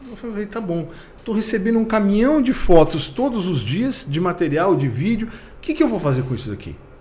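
Dark and mellow in tone, a man's high voice swings very widely in pitch and greatly in loudness at a moderate pace, with audible room echo. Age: middle-aged. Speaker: vintage car content creator. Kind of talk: casual interview.

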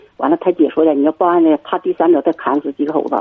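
A woman speaks at a very fast pace. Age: 50s. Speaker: radio call-in caller. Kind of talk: call-in chat about marriage problems.

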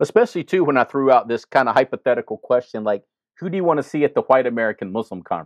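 With a Mississippi accent, a man talks at a very fast pace. His voice is medium in pitch, and his intonation is lively. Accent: Mississippi Southern US. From US South, Jackson, Mississippi. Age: 50s. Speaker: imam and chaplain. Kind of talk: interview conversation. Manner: halting, frequent repetitions.

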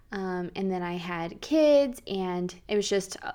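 Lively intonation marks this woman's speech, delivered at a moderate pace with an American accent. The recording is very clean, with a silent background. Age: 30s. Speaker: podcast host, stay-at-home mom. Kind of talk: casual faith talk monologue.

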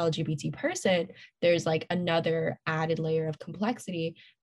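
With an American accent, a woman speaks at a moderate pace in a fairly low, somewhat breathy voice with fairly even intonation, the sound dry and close with no echo. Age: young. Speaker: student activist. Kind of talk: casual interview.

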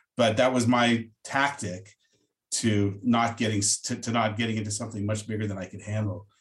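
A man's somewhat breathy, fairly low voice, flat and monotone, at a moderate pace. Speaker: podcast host. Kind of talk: interview.

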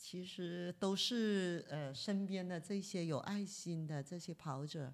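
A woman's fairly low voice at a very slow pace, on a very clean recording with a silent background. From Guangzhou, China. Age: 50s. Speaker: visually impaired marathon runner. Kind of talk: interview storytelling.

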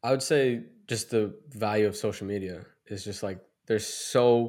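In a very clean recording with a silent background, a man with an American accent uses an unremarkable speaking voice, a fairly low pitch, and fairly even intonation. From Massachusetts. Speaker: basketball trainer. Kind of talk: casual chat.

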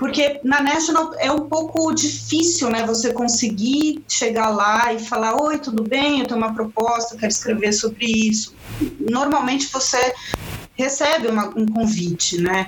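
A woman's high voice at a fairly slow pace, with ordinary pitch variation and very even loudness, over noticeable background noise. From Chile, then Bolivia. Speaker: environmental journalist. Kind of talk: casual interview.

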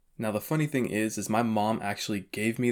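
A man with a normal speaking voice and an American accent talks at a fairly low pitch with ordinary pitch variation, on a very clean recording with a silent background. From Florida, Vero Beach. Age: 20s. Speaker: podcast host. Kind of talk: personal storytelling monologue.

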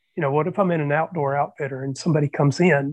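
Over a quiet background, a man with an American accent uses an ordinary speaking voice at a fairly high pitch, a fairly quick pace and fairly even intonation. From US Southeast. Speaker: panelist. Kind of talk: panel discussion.

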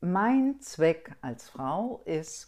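A woman speaks at a medium pitch in a dark, mellow tone. Her pitch swings very widely. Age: 60s. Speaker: guest sharing experience of involuntary childlessness. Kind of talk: podcast interview.

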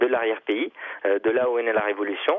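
A man's medium-pitched voice at a very fast pace. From Tunisia. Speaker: novelist. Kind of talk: interview.

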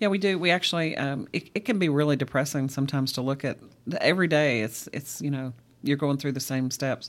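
A woman with a Kentucky accent and a very deep, low pitch, talking at a very fast pace with ordinary pitch variation, on a very clean recording with a silent background. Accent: Kentucky (US South). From Central Kentucky. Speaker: ministry outreach worker. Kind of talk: interview. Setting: studio.

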